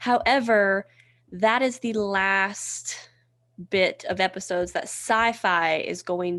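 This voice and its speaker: In a Southern US accent, a woman talks at a medium pitch. She speaks very slowly against a quiet background. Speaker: podcast co-host. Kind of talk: casual chat.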